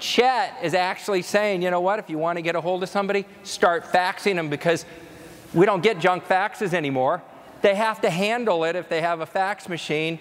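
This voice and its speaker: The speaker has an animated tone and ordinary pitch variation. Noticeable background noise runs beneath the voice. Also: man. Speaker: conference speaker. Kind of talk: keynote presentation. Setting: stage with audience. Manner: fast.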